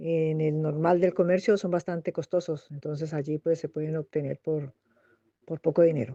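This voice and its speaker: The woman's fairly low-pitched voice has a dark, mellow tone and a dry, close sound with no echo. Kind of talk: interview answer.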